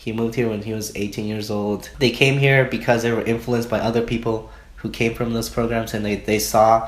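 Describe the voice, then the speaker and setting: Audible room echo surrounds a man speaking at a fairly quick pace. His medium-pitched voice has monotone, flat intonation. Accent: Spanish. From Mexico, Oaxaca. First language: Spanish. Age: 20s. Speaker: student interviewee. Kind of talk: interview.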